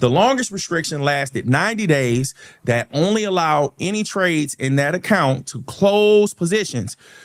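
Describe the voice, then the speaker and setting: A man with a plain, everyday voice and a fairly high pitch talks at a moderate pace with lively intonation, in a dry, close sound with no echo. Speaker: stock market educator, channel host. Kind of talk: live stream market recap and Q&A. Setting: live stream. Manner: explanatory, self-correcting.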